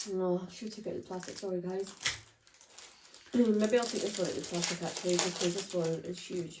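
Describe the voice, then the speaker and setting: With a Scottish accent, a woman speaks at a medium pitch and a fairly quick pace, with fairly even intonation. Noticeable background noise and audible room echo are present. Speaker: vlogger. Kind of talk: casual chat.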